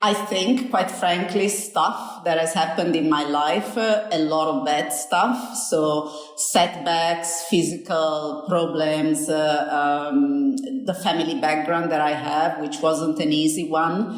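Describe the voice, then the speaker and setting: A woman with a slight Italian accent and a fairly low pitch speaks at a very slow pace, barely pausing. Noticeable background noise and audible room echo surround her voice. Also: lively intonation. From Italy. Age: 50s. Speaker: business school dean. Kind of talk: interview.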